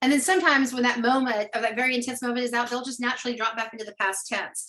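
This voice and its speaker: A woman's high-pitched voice with an American accent, very fast pace and fairly even intonation. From Alabama, US South. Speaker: storytelling producer and artistic director. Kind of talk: podcast interview.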